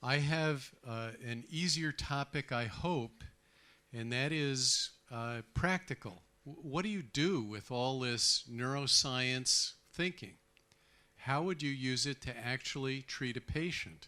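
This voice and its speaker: Speaking very slowly with an American accent, a man has a medium pitch and a bright, sharp tone. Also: ordinary pitch variation. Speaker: psychiatrist. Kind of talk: conference lecture.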